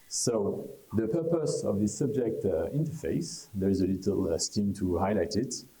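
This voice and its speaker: With a French accent, a man speaks in lively intonation. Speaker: conference speaker on traffic technology. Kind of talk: conference presentation. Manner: hesitant, many fillers.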